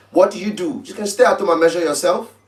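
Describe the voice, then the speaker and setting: Noticeable background noise runs beneath a man who speaks at a high pitch. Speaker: tailor and fashion brand owner. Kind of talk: live-stream tutorial. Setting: live stream. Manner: fast.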